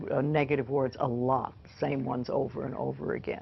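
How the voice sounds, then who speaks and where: Speaking at a moderate pace, a woman shows vocal fry. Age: 80s. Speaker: self-help teacher. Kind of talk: interview. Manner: conversational.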